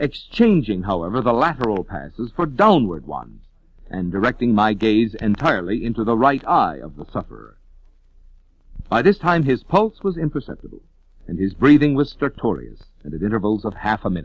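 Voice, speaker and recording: With vocal fry and very wide pitch swings, a man at a medium pitch talks at a fairly quick pace. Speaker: voice actor. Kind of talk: horror story narration. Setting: old vinyl record transfer, scratches and pops.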